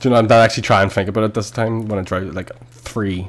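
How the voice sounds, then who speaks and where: A man at a very fast pace, fairly low in pitch, fairly even in intonation, over noticeable background noise. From West Belfast.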